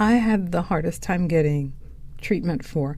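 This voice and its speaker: A woman speaks at a fairly slow pace with lively intonation. Her tone is dark and mellow, her pitch fairly low. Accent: Caribbean. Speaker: podcast host, poet. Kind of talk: reflective podcast monologue.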